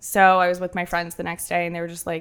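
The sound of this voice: A woman talks fast in a clear, smooth, fairly bright and nasal tone, her fairly low voice held in a monotone, flat intonation.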